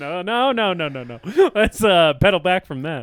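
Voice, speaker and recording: With a high pitch and very wide pitch swings, a man talks at a moderate pace, his loudness swinging widely. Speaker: podcast co-host. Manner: casual, conversational.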